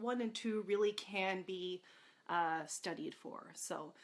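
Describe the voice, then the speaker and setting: A woman speaks with a Canadian accent. Her tone is bright and sharp, with lively intonation. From Canada. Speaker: beer educator. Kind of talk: live-streamed talk. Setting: Facebook live video. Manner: halting, many fillers.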